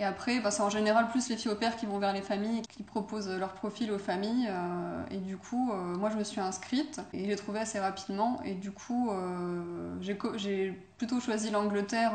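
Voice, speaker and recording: Noticeable background noise and audible room echo surround the speaker. A woman talks at medium pitch with fairly even intonation. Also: hardly any pauses. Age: 20s. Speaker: former au pair, student. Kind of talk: interview. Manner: hesitant, many fillers.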